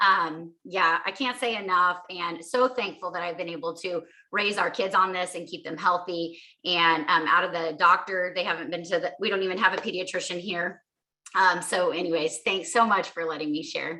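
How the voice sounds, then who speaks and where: At a moderate pace, a woman with an ordinary speaking voice talks in a fairly low pitch with ordinary pitch variation. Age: 40s. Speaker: mother sharing health story. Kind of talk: testimony.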